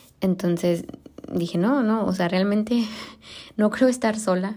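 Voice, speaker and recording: A woman with a Mexican accent speaks fairly slowly in a dark, mellow voice with fairly even intonation. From Mexico. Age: 30s. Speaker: podcast host. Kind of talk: casual monologue. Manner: halting, many fillers.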